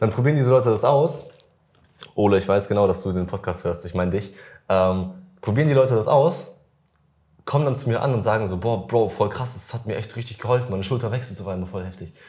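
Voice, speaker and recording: Somewhat breathy and dark, mellow in tone, a man talks at a very fast pace with a fairly low pitch. His pitch varies in an ordinary way, and long, frequent pauses break up the speech. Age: 20s. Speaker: fitness influencer and podcast host. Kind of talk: casual chat.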